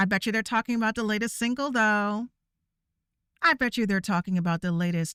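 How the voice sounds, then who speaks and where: A woman shouting loudly at a moderate pace, her tone bright and sharp, with ordinary pitch variation and a dry, close sound with no echo. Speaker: VTuber streamer. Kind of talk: rant. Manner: loud, yelling; animated.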